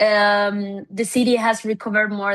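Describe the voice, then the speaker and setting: In a quiet setting, a woman with a Spanish accent and medium pitch speaks fairly slowly. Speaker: city government official. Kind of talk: conference presentation. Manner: halting, many fillers.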